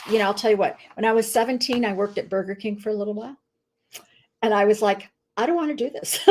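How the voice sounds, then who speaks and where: Speaking very fast with long, frequent pauses, a woman with an American accent uses a fairly high pitch and ordinary pitch variation. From Chicago area, US Midwest. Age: 60s. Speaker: nutritionist and network marketing business owner. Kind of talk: casual interview. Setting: live stream video call.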